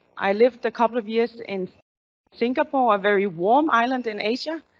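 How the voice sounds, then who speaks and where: Delivered with a Danish accent, the speech moves at a moderate pace with ordinary pitch variation. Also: woman. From Denmark. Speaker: company executive. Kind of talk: corporate town hall presentation. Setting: stage with audience, also streamed.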